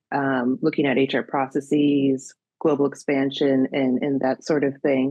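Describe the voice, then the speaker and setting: The speaker is a woman. She has a slight Minnesota accent. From US Midwest, Minnesota. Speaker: career coach. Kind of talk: interview. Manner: many filler words.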